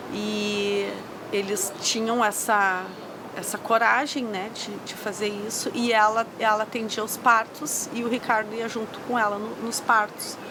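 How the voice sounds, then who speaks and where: Amid noticeable background noise, a woman talks at a fairly slow pace with fairly high pitch and monotone, flat intonation. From southern Brazil, Porto Alegre. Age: 40s. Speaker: traditional midwife. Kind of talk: interview testimony. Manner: halting, with fillers.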